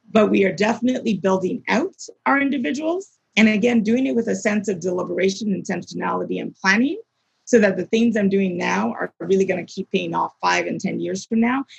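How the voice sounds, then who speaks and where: In a dry, close recording with no echo, a woman with an American accent speaks at a fairly quick pace. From US, Maryland (childhood in Nigeria 6-15). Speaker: arts nonprofit executive director. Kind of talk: interview.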